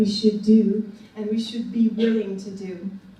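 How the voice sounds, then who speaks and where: A woman with a French accent speaks at a moderate pace in a fairly high pitch and a flat, monotone delivery, with noticeable background noise. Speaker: academic discussant. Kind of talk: panel talk. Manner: halting, many fillers.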